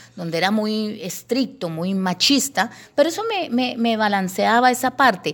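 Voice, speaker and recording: This woman has a plain, everyday voice, pitched fairly high, with lively intonation at a moderate pace. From Colombia, Bogotá and Llanos Orientales. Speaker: radio broadcaster. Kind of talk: testimony interview.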